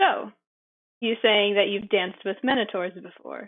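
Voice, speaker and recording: This woman uses a put-on, gruff character voice at a medium pitch. She talks at a moderate pace. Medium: actual play. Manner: gruff, distasteful.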